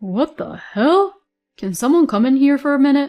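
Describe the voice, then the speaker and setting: Shouting in a put-on character voice, a female-sounding speaker keeps a high pitch at a moderate pace. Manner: alarmed, shouting.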